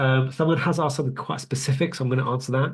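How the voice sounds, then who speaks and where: A man talks at a very fast pace. His voice is somewhat breathy, with fairly even intonation. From UK. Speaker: radiologist teaching a webinar. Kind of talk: online lecture with live Q&A. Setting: live webinar. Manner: casual, many filler ums.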